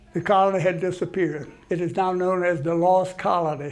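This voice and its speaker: A man speaks in a high, flat monotone, with audible echo from the room. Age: 80s+. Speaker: history lecturer at a senior center. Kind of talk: lecture. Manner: halting, with frequent restarts.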